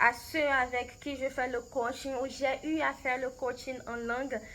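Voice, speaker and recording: In a Beninese accent, a woman speaks at a very slow pace with a high pitch. Her voice is raised and projected, its tone bright and sharp. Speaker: language coach. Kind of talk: recorded interview answers. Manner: halting, many hesitations and repetitions.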